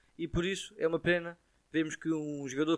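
Recorded dry and close with no echo, a man speaks at a fairly quick pace in a fairly high pitch with a European Portuguese accent. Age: 20s. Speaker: tennis coach. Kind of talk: casual chat.

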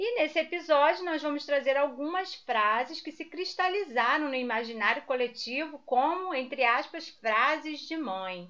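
A woman with a high pitch and a bright, sharp tone uses a raised, projected voice. She speaks at a fairly slow pace with lively intonation and hardly any pauses. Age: 40s. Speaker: podcast co-host, mother. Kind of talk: casual chat.

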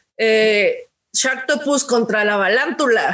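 A woman speaks at a very slow pace in a high voice. Her pitch varies in an ordinary way. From Mexico City. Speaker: podcast co-host. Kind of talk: casual chat.

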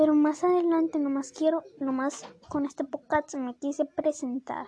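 The voice belongs to a woman with a high pitch. The sound is dry and close, with no echo. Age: 20s. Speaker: podcaster. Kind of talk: casual monologue. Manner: rambling, halting.

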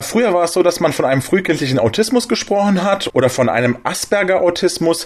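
A man talks at a fast pace. His pitch is high. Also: lively intonation.

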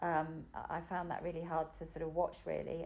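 At a fairly quick pace, a woman speaks in a flat monotone with a fairly low pitch. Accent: English. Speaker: mother of host. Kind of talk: casual chat.

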